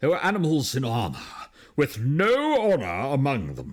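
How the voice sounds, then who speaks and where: The man puts on a character voice, talking at a medium pitch and a moderate pace. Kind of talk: posh, upper-class. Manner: haughty.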